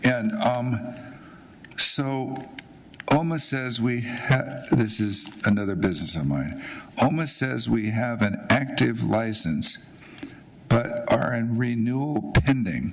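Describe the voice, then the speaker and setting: Over noticeable background noise and audible room echo, a man speaks at a very slow pace. His pitch is medium and his intonation lively. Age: 80s+. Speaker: business owner giving public comment. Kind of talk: public comment at hearing.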